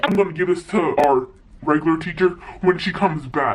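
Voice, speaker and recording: A man puts on a high-pitched character voice and talks at a fairly quick pace. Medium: solo performance. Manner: curt, stern.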